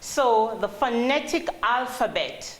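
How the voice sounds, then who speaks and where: A woman talks amid noticeable background noise and audible room echo. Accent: Jamaican. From Jamaica. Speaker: call center trainer. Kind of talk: training presentation.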